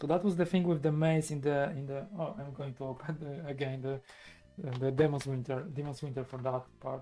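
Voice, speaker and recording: Music plays behind a man with a non-native accent and a fairly high pitch. He talks at a fairly quick pace with fairly even intonation. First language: not English. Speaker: retro gaming streamer. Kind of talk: live gameplay stream. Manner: halting, many fillers and restarts.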